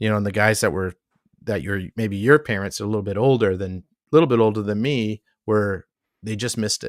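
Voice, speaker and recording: An ordinary speaking voice at a fairly quick pace, dry and close with no echo, on a very clean recording with a silent background. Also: man, fairly low pitch for a man, ordinary pitch variation. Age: 50s. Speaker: artist and entrepreneur, podcast host. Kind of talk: casual chat.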